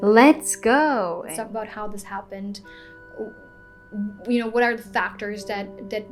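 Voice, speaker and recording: Speaking with a non-native accent at a fairly slow pace, a woman with a fairly high pitch and ordinary pitch variation leaves long, frequent pauses, her loudness swinging widely over music in the background. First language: not English. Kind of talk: casual talk to camera.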